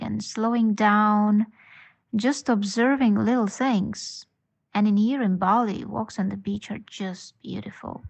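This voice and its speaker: This woman speaks with an Estonian accent and a somewhat breathy voice. Her pace is fairly slow and her intonation fairly even. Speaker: podcast listener. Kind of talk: voice message.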